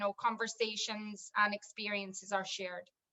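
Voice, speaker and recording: Speaking at a moderate pace, this woman has a Scottish accent. Her tone is bright and sharp. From Scotland, Edinburgh. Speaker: wedding tech business owner. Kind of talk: video call panel discussion.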